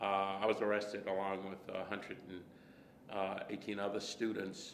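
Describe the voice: A man with an American accent talks at a fairly slow pace with a fairly low pitch and vocal fry. Audible room echo surrounds his voice.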